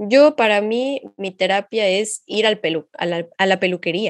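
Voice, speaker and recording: In an unremarkable speaking voice, a woman talks fairly slowly with ordinary pitch variation against a quiet background. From Mexico, Xalapa. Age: 20s. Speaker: psychology master's student, podcast co-host. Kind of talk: casual podcast conversation.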